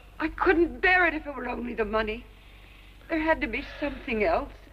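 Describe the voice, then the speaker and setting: A woman's high voice with lively intonation, at a moderate pace, amid noticeable background noise. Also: long, frequent pauses. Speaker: actress. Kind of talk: 1950s TV drama dialogue. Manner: emotional, pleading.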